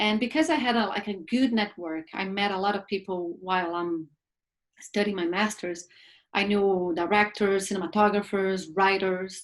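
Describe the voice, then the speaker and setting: At a moderate pace, a woman speaks in a Brazilian Portuguese accent. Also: medium pitch for a woman, ordinary pitch variation. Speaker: film producer and actress. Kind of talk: talk show interview. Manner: halting, with repeated words.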